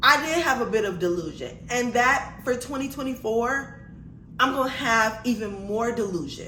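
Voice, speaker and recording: A woman with an American accent speaks at a moderate pace in a high pitch, with an animated tone and ordinary pitch variation. Noticeable background noise and audible room echo come through. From Miami, Florida (Liberty City). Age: 30s. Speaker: vlogger. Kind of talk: testimony.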